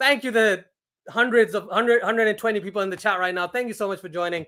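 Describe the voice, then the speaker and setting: A man's high-pitched, raised and projected voice with an American accent, ordinary pitch variation, and a very clean recording over a silent background. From Pakistan. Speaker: cricket streamer. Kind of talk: live watchalong commentary and chat. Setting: live stream. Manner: casual, animated.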